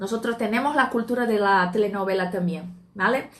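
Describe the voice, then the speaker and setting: A woman's raised, projected voice with a bright, sharp tone and a Portuguese accent. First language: Portuguese (speaking Spanish). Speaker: Spanish teacher. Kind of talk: live stream talk. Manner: hesitant with fillers.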